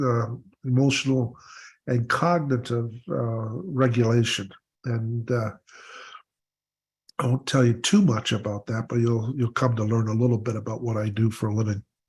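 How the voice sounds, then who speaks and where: On a very clean recording with a silent background, a man with a Canadian accent speaks in a medium pitch and a somewhat breathy voice. His pace is moderate, his intonation fairly even, and his pauses long and frequent. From Ontario, Canada. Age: 70s. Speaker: recovery workshop presenter, mental health coach. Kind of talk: workshop talk. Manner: halting, many filler words.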